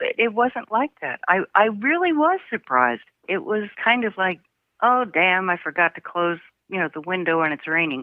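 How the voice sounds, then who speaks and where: Very wide pitch swings at a moderate pace. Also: woman, medium pitch for a woman. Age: 80s+. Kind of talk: interview answer. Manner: wry, humorous.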